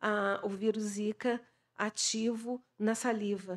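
Against a quiet background, a woman talks in a monotone, flat intonation. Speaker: scientist; panelist. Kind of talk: panel talk. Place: hall. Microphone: podium.

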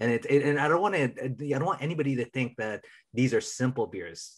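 A somewhat breathy, medium-pitched male voice with an American accent at a moderate pace. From Minnesota, US. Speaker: podcast co-host. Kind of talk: casual chat.

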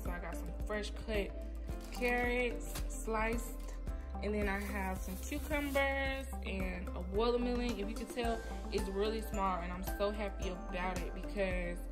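A woman talks at a fairly slow pace. Clear music can be heard behind her. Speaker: cooking vlogger. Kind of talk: casual vlog chat. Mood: cheerful, upbeat. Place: kitchen. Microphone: phone near.

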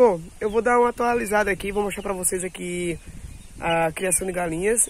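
A man with a high-pitched voice, ordinary pitch variation and a moderate pace. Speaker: YouTuber, small-scale poultry keeper. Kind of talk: casual vlog. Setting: outdoors at home.

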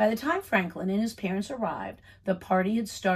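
With fairly even intonation, the text is plainly read aloud.

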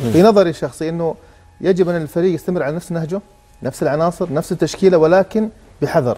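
A man speaks at a fairly quick pace in a high voice with a dark, mellow tone and ordinary pitch variation. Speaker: football pundit. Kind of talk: TV sports panel discussion. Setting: TV studio.

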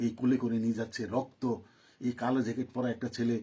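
The voice belongs to a man. It sits at a medium pitch with a dark, mellow tone. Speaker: political commentator. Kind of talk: live political monologue. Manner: animated.

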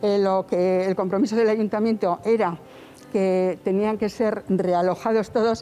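A woman's dark, mellow tone, monotone and flat, at a fairly slow pace. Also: very even loudness. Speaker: relative of evicted neighbor. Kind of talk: interview answer. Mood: indignant, complaining of injustice. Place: street.

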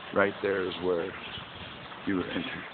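Over clear background noise, a man speaks at a low pitch with little pitch movement. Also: fairly slow pace.

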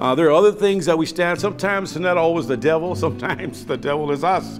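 Clear music plays behind a man who talks at a moderate pace with ordinary pitch variation. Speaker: pastor. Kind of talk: sermon. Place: studio.

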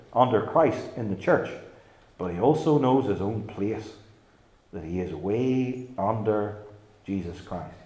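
A man speaks at a fairly slow pace. The room echo is audible. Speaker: preacher. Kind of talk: sermon. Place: church. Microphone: podium.

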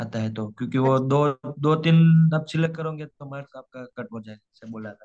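In a plain, everyday voice, a man speaks at a moderate pace with a fairly high pitch, ordinary pitch variation and big swings in loudness. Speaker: student preparing for English exam. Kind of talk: online tutoring session.

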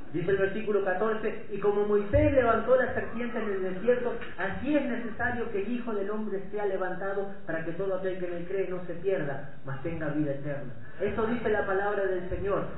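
A man's high-pitched voice at a moderate pace, with ordinary pitch variation, audible room echo, and light background noise. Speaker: preacher. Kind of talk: sermon. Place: church.

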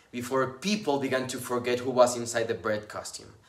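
Audible room echo on a man speaking at a moderate pace. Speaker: actor. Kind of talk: dramatic monologue performance. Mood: scornful, confrontational. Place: home room. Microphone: phone near.

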